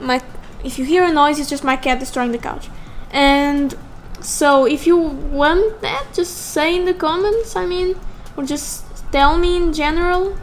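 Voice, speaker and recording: A woman with a non-native accent speaks in a high voice at a fairly slow pace, with ordinary pitch variation. Music plays in the background. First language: not English. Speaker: digital artist YouTuber. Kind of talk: casual drawing commentary. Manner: halting, self-correcting.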